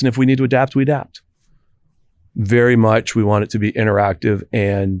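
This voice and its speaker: The delivery comes at a moderate pace with fairly even intonation, in a dry, close sound with no echo. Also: man. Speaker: IT executive. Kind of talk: interview. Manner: halting.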